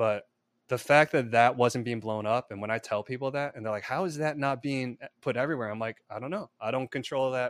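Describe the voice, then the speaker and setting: The sound is dry and close with no echo, and the recording is very clean with a silent background. A man with an unremarkable speaking voice and a medium pitch talks at a fairly quick pace with ordinary pitch variation. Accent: American. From US Midwest (Chicago suburbs, Illinois). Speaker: filmmaker and screenwriter. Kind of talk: interview.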